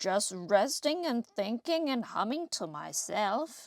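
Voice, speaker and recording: A woman's put-on character voice, fairly high-pitched with very wide pitch swings, at a fairly slow pace. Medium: read story.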